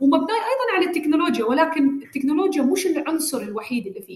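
A woman speaks with an Emirati accent. There is audible room echo and noticeable background noise. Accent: Emirati Gulf Arabic. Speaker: government digital agency director. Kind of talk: interview.

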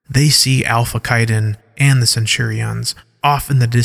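Reading aloud, natural-sounding

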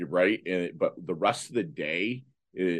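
A man's American accent with vocal fry, over a quiet background. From Michigan. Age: 50s. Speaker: motivational speaker. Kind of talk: interview. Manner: halting.

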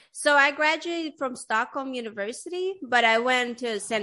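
A bright, sharp tone with a New York accent. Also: woman. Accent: New York-tinged American English. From Sweden. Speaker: podcast host. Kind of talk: casual interview. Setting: video call.

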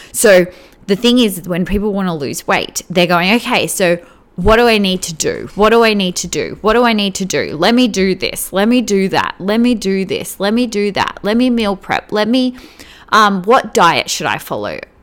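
This woman has a medium pitch and speaks at a moderate pace with ordinary pitch variation. It is a plain, everyday voice. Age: 30s. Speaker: spiritual mindset and weight loss coach. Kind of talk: solo podcast monologue. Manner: casual, filler-heavy.

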